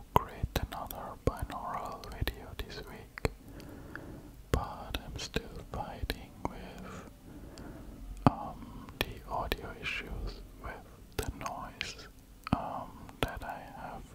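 Whispering and soft-spoken, a man talks very slowly with long, frequent pauses. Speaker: content creator. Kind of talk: casual vlog chat. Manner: close, soft ASMR whisper.

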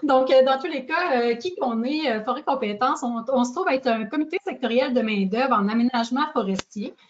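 Over light background noise, a woman talks at a moderate pace and a high pitch. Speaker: workforce organization representative. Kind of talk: presentation. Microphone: video call.

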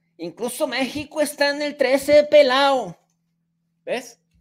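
In an animated tone, a man talks with a Mexican accent. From Mexico. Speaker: political commentator. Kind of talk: angry rant. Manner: sarcastic. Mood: argumentative, mocking. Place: home room.

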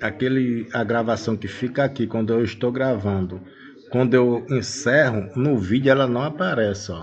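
A man at medium pitch and moderate pace, with noticeable background noise behind him. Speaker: tech tutorial youtuber. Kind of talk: tutorial. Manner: casual.

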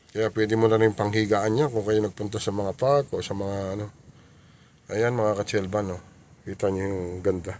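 Over light background noise, a man talks at a moderate pace and fairly low pitch, the sound dry with no echo. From Philippines. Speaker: car rental vlogger showing vehicles. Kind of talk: street seller pitchman. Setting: in a car, walkaround video. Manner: upbeat, promotional, animated; halting, repeats filler words. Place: car. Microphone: phone near.

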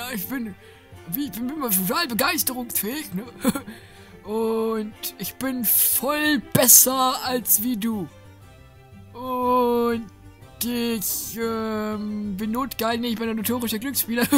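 A woman's put-on character voice, fairly high in pitch and very slow, over clear music in the background. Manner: funny, boastful.

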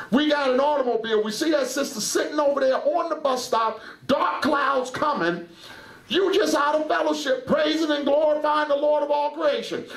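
An animated man with an extremely high pitch speaks at a moderate pace with ordinary pitch variation. His loudness stays very even, and room echo is audible. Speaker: preacher. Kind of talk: sermon. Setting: church. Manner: animated, fervent preaching. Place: church. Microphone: headset.

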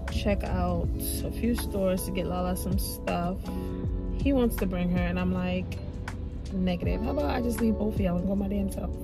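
The speech moves at a moderate pace with long, frequent pauses and ordinary pitch variation. The sound is dry with no echo, and clear music plays in the background. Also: woman. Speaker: vlogger. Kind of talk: casual vlog chat. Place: car. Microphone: phone near.

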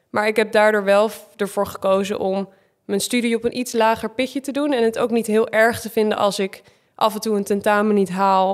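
This woman has an ordinary speaking voice, fairly high in pitch, delivered at a moderate pace with fairly even intonation on a very clean recording with a silent background. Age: 20s. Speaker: reality TV contestant and gym owner. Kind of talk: casual chat.

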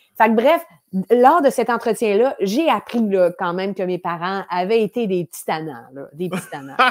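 A woman in a Quebec accent speaks at a moderate pace with very wide pitch swings and big swings in loudness against a quiet background. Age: 40s. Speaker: improv actress. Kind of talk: casual interview chat. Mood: lively, laughing, animated. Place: home room. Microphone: earbuds.

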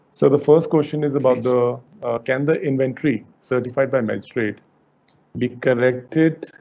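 A man speaks with an Indian accent at a moderate pace. His intonation stays fairly even. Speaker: webinar host. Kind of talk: webinar moderation. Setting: video call. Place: office. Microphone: headset.

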